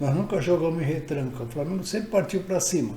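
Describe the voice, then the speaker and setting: A man's fairly high-pitched voice in audible room echo. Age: 80s+. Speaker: football fan vlogger. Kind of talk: casual monologue. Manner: halting.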